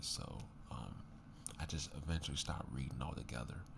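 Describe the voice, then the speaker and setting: Soft-spoken, a man talks at a moderate pace over noticeable background noise. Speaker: ASMR creator. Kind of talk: casual ASMR talk to camera.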